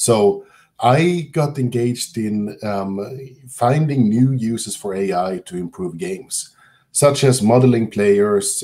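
Speaking with a Swedish accent, a man has a dark, mellow tone. He talks at a very slow pace with ordinary pitch variation. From southern Sweden. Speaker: computer science professor. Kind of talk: lecture. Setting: video call. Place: home room. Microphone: webcam.

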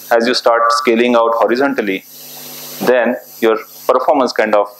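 A man's fairly quick speech with audible room echo. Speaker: presenter. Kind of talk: lecture. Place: classroom.

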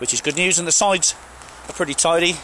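A man talking at a very fast pace, in a dry sound with no echo and light background noise. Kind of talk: car walkaround commentary. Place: open country. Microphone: phone near.

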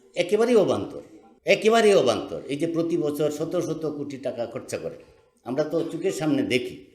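With lively intonation, a man talks at a high pitch in a space with audible room echo. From Bangladesh, Sunamganj haor region. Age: 70s. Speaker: activist. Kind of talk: public speech. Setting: conference hall with audience. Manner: animated.

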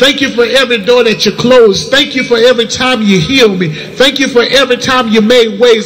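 A man speaks with an extremely high pitch and ordinary pitch variation. He keeps a moderate pace with hardly any pauses. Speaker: prayer leader. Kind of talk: fervent prayer. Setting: church. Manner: fervent, call-and-response exhortation. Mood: fervent, grateful. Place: street.

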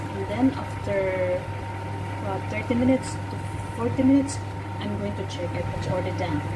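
Loud background noise accompanies a woman speaking at a moderate pace. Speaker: home cook vlogger. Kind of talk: tutorial. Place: kitchen.

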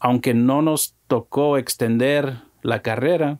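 The background is quiet. A man talks at a fairly high pitch. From Mexico-born, raised in the US. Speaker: musician and music producer; guest. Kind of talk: casual interview chat. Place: studio. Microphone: studio mic.

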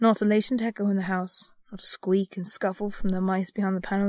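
The passage is read out loud. The delivery is natural.

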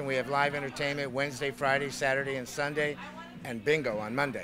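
A man at a fairly quick pace, dry sound with no echo, clear music in the background. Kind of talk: interview answer. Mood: friendly, promotional. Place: bar. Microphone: handheld.

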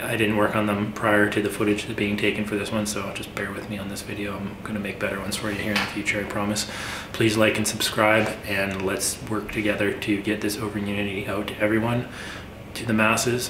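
A man with a fairly low pitch speaks at a fairly quick pace in a monotone, flat intonation. Background noise is noticeable. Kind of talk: casual vlog chat. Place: workshop.

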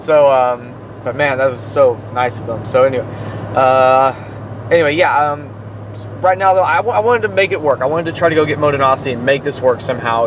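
Speech comes at a very fast pace with ordinary pitch variation. The sound is dry with no echo, though noticeable background noise is present. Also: man. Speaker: vlogger driving. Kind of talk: casual vlog chat. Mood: reflective, slightly resigned. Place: car. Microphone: phone near.

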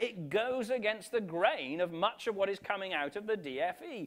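A man talks at a fairly slow pace. His pitch is high. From northwest England, Wirral; northwest England. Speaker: bishop. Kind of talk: conference keynote talk. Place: hall. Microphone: podium.

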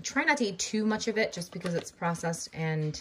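Light background noise sits behind a normal speaking voice that has ordinary pitch variation. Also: woman. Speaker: mom vlogger. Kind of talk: casual vlog chat. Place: kitchen. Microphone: phone near.

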